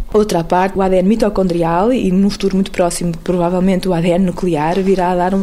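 Over noticeable background noise, a woman with a medium-pitched voice speaks at a very fast pace. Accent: European Portuguese. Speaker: anthropologist. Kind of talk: interview answer.

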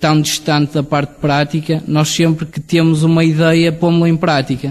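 The man's voice is fairly high, delivered with monotone, flat intonation. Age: 20s. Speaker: brewery founder and researcher. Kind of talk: interview. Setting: on location at the brewery.

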